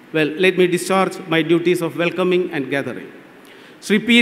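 With fairly even intonation, a man speaks at a moderate pace in a high pitch. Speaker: event host giving welcome address. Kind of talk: formal welcome speech. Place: stage. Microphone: podium.

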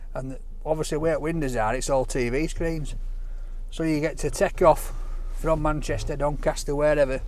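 At a moderate pace, a man talks with fairly even intonation in a dry sound with no echo. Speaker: vlogger. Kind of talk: casual vlog chat. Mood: jokey, storytelling. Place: car. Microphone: camera far.

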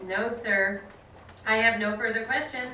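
Over light background noise and audible room echo, a woman talks at a moderate pace. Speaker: reader performing a trial transcript. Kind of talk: dramatic reading of courtroom dialogue. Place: classroom.

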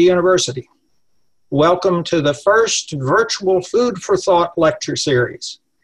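The speaker has an American accent. The background is quiet. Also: man. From Texas. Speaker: law professor, event host. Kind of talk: formal introduction. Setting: video call. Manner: formal. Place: home room. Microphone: webcam.

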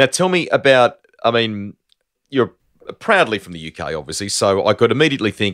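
An Australian accent from a man against a quiet background. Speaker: motorsport podcast host. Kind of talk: interview with scripted intro. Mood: warm, smiling, friendly. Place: home room. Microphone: studio mic.

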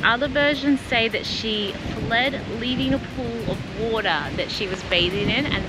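Over music in the background, a woman talks at a fairly slow pace. The sound is dry with no echo. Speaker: travel vlogger. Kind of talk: casual vlog narration. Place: waterside. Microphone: phone near.

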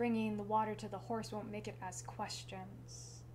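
A woman talks very slowly while noticeable background noise carries on behind her. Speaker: slam poet. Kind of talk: slam poetry performance. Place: home room. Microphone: camera far.

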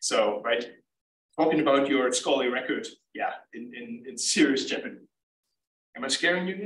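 Amid audible room echo, a man with a fairly high pitch and lively intonation speaks at a moderate pace, pausing long and often. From Germany. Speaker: research scientist. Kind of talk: lecture.

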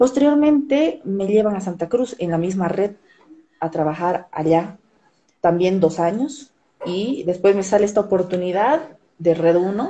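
A woman talks at a fairly slow pace with lively intonation. Light background noise is present. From southern Bolivia (Tarija); Bolivia. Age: 30s. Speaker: TV news presenter and journalist; interview guest, journalist. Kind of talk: interview over video call. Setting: live stream call from her office. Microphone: video call.

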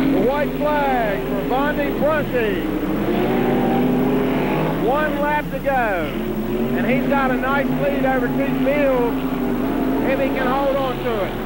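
A very slow pace with long, frequent pauses, a dry sound with no echo, and loud background noise. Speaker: amateur race commentator filming. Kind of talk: commentary. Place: stadium. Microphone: old recording.

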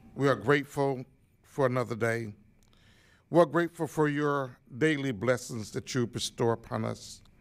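Ordinary pitch variation at a fairly slow pace. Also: man. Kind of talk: prayer. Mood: solemn, calm. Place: meeting room. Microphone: podium.

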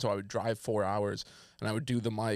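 Fairly quick speech from a man with a fairly low pitch, in a dry sound with no echo and a quiet background. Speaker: comedian podcast host. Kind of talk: casual comedy banter. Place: studio. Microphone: studio mic.

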